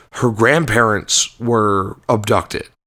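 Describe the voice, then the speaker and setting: This man has a plain, everyday voice of medium pitch and fairly even intonation. He speaks fairly slowly in a very clean recording with a silent background. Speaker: podcast co-host. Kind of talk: casual podcast conversation.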